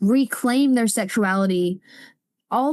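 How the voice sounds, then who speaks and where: Over a quiet background, a woman with a Southern US accent speaks in a high pitch, with a dry, close sound and no echo. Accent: Southern American. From Alabama, USA. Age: 20s. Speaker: spoken word poet. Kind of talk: interview answer. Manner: forceful.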